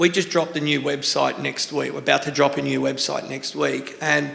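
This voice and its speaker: A man speaks at a moderate pace with an Australian accent. Noticeable background noise runs behind him. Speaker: tattoo artist and shop owner. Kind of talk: panel talk at a seminar. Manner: casual, rambling.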